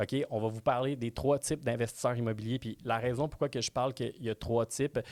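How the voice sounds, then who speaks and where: A man with a Quebec accent, medium pitch, fairly even intonation and a fairly quick pace. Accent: Québécois French. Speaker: real estate trainer. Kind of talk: webinar presentation. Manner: fast.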